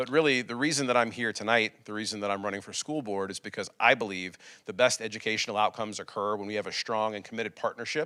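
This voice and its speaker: The speech is very fast, with an American accent. The tone is bright and sharp, and the intonation fairly even. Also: man, very clean recording, silent background. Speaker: school board candidate. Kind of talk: candidate forum speech.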